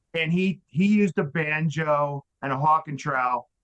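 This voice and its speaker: A normal speaking voice with an American accent shows ordinary pitch variation in a dry, close sound with no echo. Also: man. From Western Nebraska. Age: 60s. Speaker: drywall finisher and sales rep. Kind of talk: casual interview chat, storytelling.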